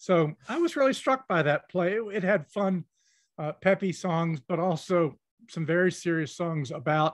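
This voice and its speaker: A man's fairly high-pitched voice, an unremarkable speaking voice, with ordinary pitch variation and a moderate pace, in a dry, close sound with no echo over a quiet background. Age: 60s. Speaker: historian. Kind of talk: interview.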